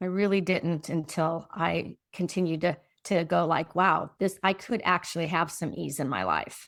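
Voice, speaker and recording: A woman's fairly low voice with vocal fry and fairly even intonation, at a moderate pace with hardly any pauses, on a very clean recording with a silent background. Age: 60s. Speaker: transformational coach. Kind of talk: casual chat.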